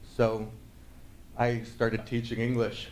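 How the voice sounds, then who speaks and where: A man with a Californian accent at a moderate pace, with audible room echo. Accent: American (Californian). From northern California, Sierra Nevada foothills. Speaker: conference speaker, Drupal developer. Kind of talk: conference talk. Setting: stage with audience. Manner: hesitant, many fillers.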